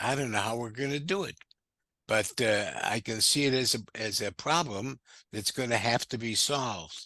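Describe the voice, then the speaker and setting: A man with an American accent has a bright, sharp tone. His medium pitch shows ordinary variation. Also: dry, close sound with no echo, quiet background. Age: 70s. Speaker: discussion moderator. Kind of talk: group discussion. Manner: halting, many fillers.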